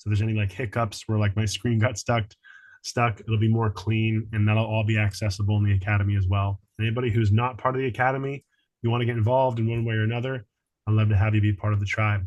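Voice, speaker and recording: A man speaks at a very fast pace in a fairly low pitch, his intonation monotone and flat. His voice is somewhat breathy, with very even loudness. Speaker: healing arts teacher. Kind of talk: online group class wrap-up. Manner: casual, warm.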